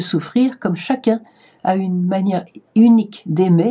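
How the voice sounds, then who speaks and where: A woman's medium-pitched voice is somewhat breathy and varies in pitch in an ordinary way. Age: 70s. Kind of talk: spiritual talk to camera. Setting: video recorded for online viewers.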